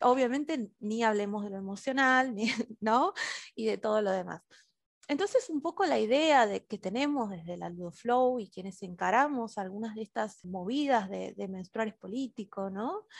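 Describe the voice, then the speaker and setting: Here is a woman with an ordinary speaking voice, pitched fairly high. She speaks at a moderate pace with lively intonation. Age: 30s. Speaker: educator and play therapist. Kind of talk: interview.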